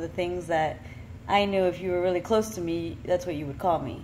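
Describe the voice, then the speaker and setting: Fairly quick and fairly low, a woman talks in a Florida accent with ordinary pitch variation. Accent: American, Florida. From Miami, Florida. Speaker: vlogger. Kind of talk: personal monologue. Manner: casual.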